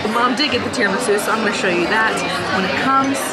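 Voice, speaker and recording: A woman at a very fast pace, ordinary pitch variation, music playing in the background. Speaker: food vlogger. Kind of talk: casual vlog chat. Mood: cheerful, enthusiastic. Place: cafe.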